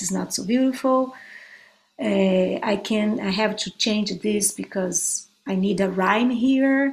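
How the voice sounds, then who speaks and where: With a Brazilian Portuguese accent, a woman of medium pitch speaks at a very slow pace. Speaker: guitarist and songwriter. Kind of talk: interview.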